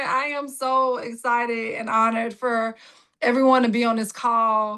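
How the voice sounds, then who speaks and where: A woman's high-pitched voice, bright and sharp in tone, in a Southern US accent. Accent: Southern drawl. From Jacksonville, Florida. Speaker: political candidate. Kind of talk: campaign speech. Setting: virtual rally call.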